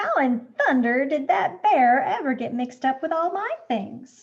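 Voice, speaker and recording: Using a put-on character voice, a woman speaks high for a woman at a moderate pace. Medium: read story. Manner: warm, enthusiastic.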